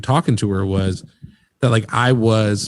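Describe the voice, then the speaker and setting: A man with an unremarkable speaking voice at medium pitch. His intonation is fairly even. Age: 30s. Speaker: podcast host. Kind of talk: casual chat.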